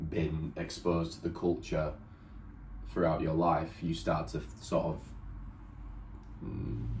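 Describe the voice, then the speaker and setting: This man has a very deep, low voice with vocal fry and a southern English accent. Room echo is audible around him. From England. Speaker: partner of the vlogger. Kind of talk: casual chat.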